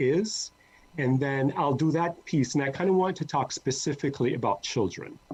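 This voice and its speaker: A man speaks with a somewhat breathy, fairly high voice. His intonation is lively. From Jamaica, Kingston. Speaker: interviewer. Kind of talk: interview.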